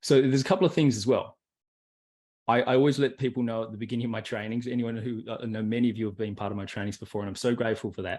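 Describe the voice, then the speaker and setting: The speech runs at a very fast pace. Pitch variation is ordinary. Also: man, medium pitch for a man. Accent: Australian. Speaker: personal development coach. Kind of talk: online workshop. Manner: animated.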